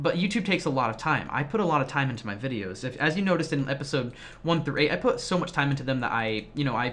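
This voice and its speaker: Very fast talk from a man with a fairly high pitch and lively intonation. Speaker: gaming YouTuber and streamer. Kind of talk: casual vlog talk to viewers.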